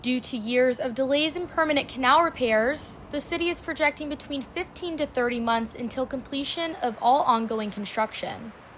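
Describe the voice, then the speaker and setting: Over noticeable background noise, a woman with a high pitch talks at a moderate pace, with ordinary pitch variation and hardly any pauses. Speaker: student field reporter. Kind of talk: TV news field report. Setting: outdoors.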